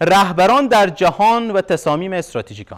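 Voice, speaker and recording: Against a quiet background, a man talks with a fairly high pitch. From Afghanistan. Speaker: university lecturer. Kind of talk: lecture. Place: hall.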